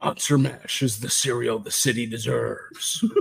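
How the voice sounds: A put-on character voice uses a serious, dramatic tone. The pace is moderate. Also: man, medium pitch for a man.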